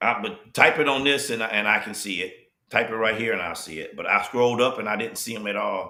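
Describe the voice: Someone does plain reading aloud. The background is quiet.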